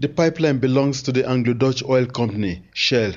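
A man speaks in a plain, everyday voice at a medium pitch. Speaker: news reporter. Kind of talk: news report. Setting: reporting from Lagos.

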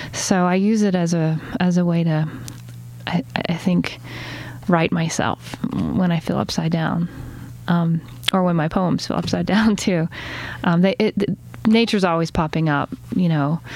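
A woman with an American accent speaks fairly slowly in a fairly low voice, her loudness very even and her intonation fairly even. Long, frequent pauses break up her speech, with noticeable background noise behind her. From US South, Chattanooga, Tennessee. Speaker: poet. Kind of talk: interview.

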